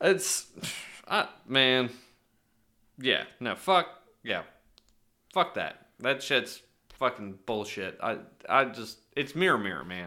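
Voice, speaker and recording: A man talks at a very slow pace, leaving long, frequent pauses. His tone is bright and sharp, and his pitch swings very widely. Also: medium pitch for a man, very clean recording, silent background. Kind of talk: angry rant. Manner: loud, exasperated, profanity-laden, hammering the same point.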